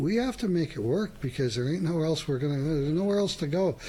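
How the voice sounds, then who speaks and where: A very fast man with a fairly high pitch, lively intonation and very even loudness. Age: 60s. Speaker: car dealer. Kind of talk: casual chat. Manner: animated.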